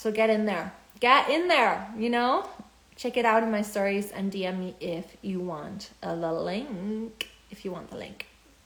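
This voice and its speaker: Audible room echo surrounds a woman speaking at a moderate pace in a fairly high voice. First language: German. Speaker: spiritual business coach. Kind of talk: live stream talk. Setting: Instagram live. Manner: halting.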